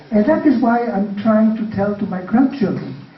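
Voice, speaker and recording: A man with a high pitch speaks over noticeable background noise and audible room echo. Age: 60s. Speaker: panelist. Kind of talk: panel discussion. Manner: halting.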